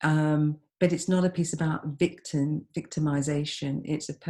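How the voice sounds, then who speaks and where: In a London accent, a woman with a very deep, low pitch speaks in a monotone, flat way, her tone dark and mellow and somewhat breathy. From East London, England. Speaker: experimental vocalist and composer. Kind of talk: interview answer.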